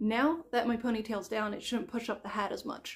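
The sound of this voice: A woman talks at a moderate pace. Her pitch sits fairly high.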